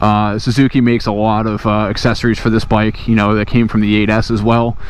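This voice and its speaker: The delivery comes at a very fast pace with monotone, flat intonation. Noticeable background noise runs underneath. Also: man, fairly low pitch for a man. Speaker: motorcycle owner reviewer. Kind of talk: casual motovlog talk to camera. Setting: outdoors. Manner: hesitant, many fillers.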